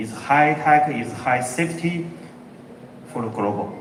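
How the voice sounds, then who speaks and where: Speaking with a Chinese accent, a man's fairly high voice shows ordinary pitch variation amid noticeable background noise and audible room echo. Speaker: company executive. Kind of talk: keynote presentation. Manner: halting.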